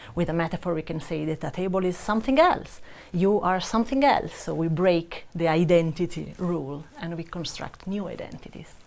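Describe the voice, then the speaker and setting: Talking at a fairly quick pace with hardly any pauses, a woman with a strong Italian accent shows big swings in loudness and ordinary pitch variation. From Italy. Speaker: language researcher. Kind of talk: panel discussion. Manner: hesitant, many fillers.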